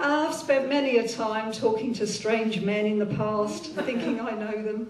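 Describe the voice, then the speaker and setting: At a moderate pace and fairly high pitch, a woman speaks with ordinary pitch variation amid noticeable background noise and audible room echo. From South London, England. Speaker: comedian. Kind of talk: stand-up. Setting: stage with audience.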